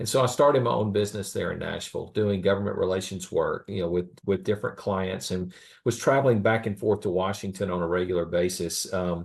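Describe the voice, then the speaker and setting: A man in a Southern US accent at a fairly quick pace, fairly low in pitch, with ordinary pitch variation. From US South, small-town Alabama. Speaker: government relations consultant. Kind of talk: podcast interview. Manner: halting, many fillers.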